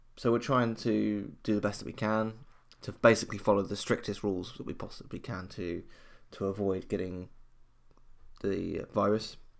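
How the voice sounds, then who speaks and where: A man with a British accent and a fairly low pitch, monotone and flat, at a moderate pace with long, frequent pauses, on a very clean recording with a silent background. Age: 20s. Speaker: podcast host. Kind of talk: personal solo monologue. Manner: halting.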